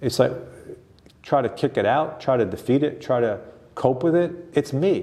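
A somewhat breathy, dark and mellow voice at a moderate pace, with ordinary pitch variation, very even loudness, and long, frequent pauses. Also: man. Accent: American. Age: 60s. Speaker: author and performance coach. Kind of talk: casual interview.

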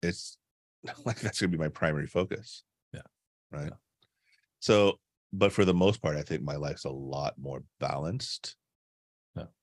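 Speaking at a moderate pace with long, frequent pauses, a man with a very deep, low pitch, ordinary pitch variation and vocal fry shows big swings in loudness, in a dry, close sound with no echo. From Caribbean immigrant household. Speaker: executive and leadership coach. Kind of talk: casual chat.

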